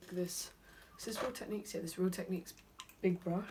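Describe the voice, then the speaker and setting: With a British accent, a woman at medium pitch speaks in a monotone, flat way over noticeable background noise. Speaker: beauty vlogger. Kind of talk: makeup tutorial. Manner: fast.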